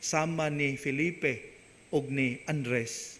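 A man is speaking. His pitch sits fairly high. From Philippines, Visayas/Mindanao. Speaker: priest giving homily. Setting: church. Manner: earnest, animated preaching; conversational, warm, story-telling. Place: church. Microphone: podium.

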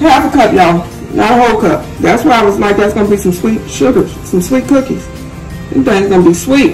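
Against clear music in the background, a woman talks at a fairly quick pace. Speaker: home cook vlogger. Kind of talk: casual cooking tutorial. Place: kitchen. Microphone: phone near.

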